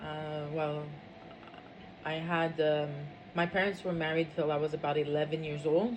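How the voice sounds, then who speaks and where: A woman's very deep, low, monotone, flat voice at a moderate pace, with noticeable background noise. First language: French. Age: 50s. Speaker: interviewee. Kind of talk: interview. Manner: hesitant, many fillers.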